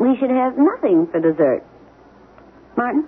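A woman's put-on character voice, fairly high in pitch with big pitch swings, a slightly husky edge and a fairly slow pace.

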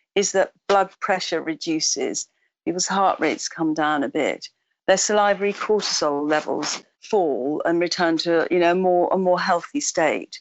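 Her pitch varies in an ordinary way as a woman speaks at a fairly slow pace. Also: medium pitch for a woman. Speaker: psychiatrist and author. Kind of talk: interview answers. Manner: hesitant, thoughtful.

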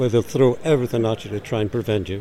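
A man's medium-pitched voice over noticeable background noise. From Newcastle, north-east England. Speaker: organisation director. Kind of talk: interview. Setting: live at a motorhome show.

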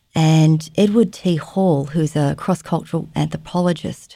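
A woman speaks with an Australian accent and a very deep, low pitch. Her tone is dark and mellow. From Australia, Melbourne suburbs. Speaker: trauma therapist and educator. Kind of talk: interview.

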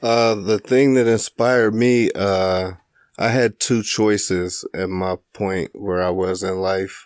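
A man speaks very slowly in a fairly low voice with fairly even intonation. The sound is dry and close with no echo, and the background is quiet. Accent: Midwestern US. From Springfield, Illinois. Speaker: stand-up comedian. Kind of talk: casual chat. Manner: monotone, chill.

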